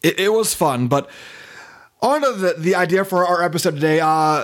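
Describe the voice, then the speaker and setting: This man has an American accent and ordinary pitch variation. He keeps a moderate pace. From US West Coast, California. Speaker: podcast host. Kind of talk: casual chat. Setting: remote call between coasts. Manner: casual, profane.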